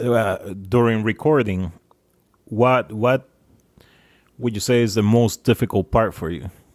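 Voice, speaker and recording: Moderately paced speech in a non-native accent with long, frequent pauses, dry and close with no echo on a very clean recording with a silent background. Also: man. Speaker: podcast host. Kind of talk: casual chat. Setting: studio.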